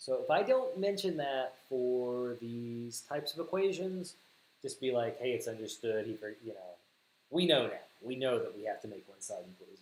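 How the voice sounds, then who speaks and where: With a Southern US accent, a man speaks at a moderate pace and medium pitch, his intonation lively. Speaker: math teacher. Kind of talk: livestream math tutorial. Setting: livestream.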